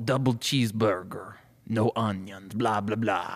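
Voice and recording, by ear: A put-on character voice from a man, medium in pitch, at a moderate pace.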